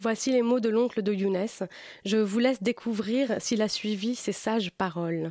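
A woman's fairly high-pitched, fairly slow delivery in an ordinary speaking voice, with ordinary pitch variation, very even loudness, and a very clean recording with a silent background. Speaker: book columnist. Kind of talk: reading aloud. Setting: studio.

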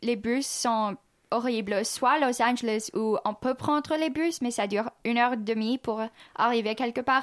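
At a fairly slow pace, a woman talks in a high pitch with ordinary pitch variation and very even loudness. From US Midwest, Kansas City, Missouri. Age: 20s. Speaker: exchange student. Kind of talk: radio interview.

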